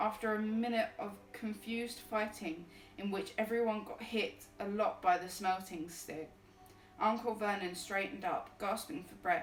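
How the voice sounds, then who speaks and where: The speech has ordinary pitch variation and big swings in loudness. Noticeable background noise and audible room echo fill the recording. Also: woman, fairly high pitch for a woman, moderate pace. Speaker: streamer reading books aloud. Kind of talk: reading aloud. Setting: live stream with background music. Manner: halting, stumbles over words.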